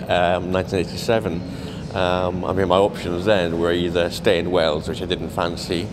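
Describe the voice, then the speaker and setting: Against noticeable background noise, a man with a very deep, low pitch speaks at a fairly slow pace. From Cumbria, England; England. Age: 50s. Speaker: documentary photographer; interviewee. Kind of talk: interview. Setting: art gallery. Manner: halting, many fillers and repeats. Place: hall. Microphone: handheld.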